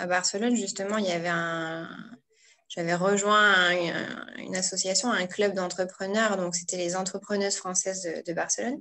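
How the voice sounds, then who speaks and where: A woman with an unremarkable speaking voice talks at a medium pitch. Her pace is fairly slow and her intonation fairly even. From northern France (Pas-de-Calais). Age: 30s. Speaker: blogger and entrepreneurship coach. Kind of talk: interview.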